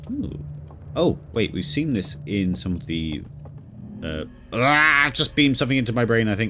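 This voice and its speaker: A man speaks at medium pitch and a moderate pace, his pitch swinging very widely. Long, frequent pauses break up his bright, sharp tone, which carries vocal fry. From southern England. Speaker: video game streamer. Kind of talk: live gameplay commentary.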